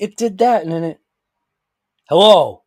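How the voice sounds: At a fairly slow pace, a man talks with a slightly mellow tone and a slightly husky edge.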